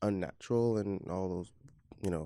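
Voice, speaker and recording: On a very clean recording with a silent background, a man speaks with a very deep, low pitch, fairly even intonation and a dark, mellow tone. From Belize. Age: 20s. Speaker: guest, immigrant dancer. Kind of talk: casual interview.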